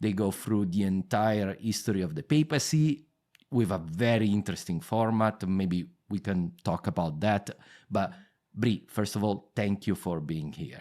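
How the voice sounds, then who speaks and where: Speaking in a strong Italian accent, a man uses a fairly low pitch and lively intonation at a moderate pace. The recording is very clean, with a silent background. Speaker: history podcast host. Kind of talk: interview. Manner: halting.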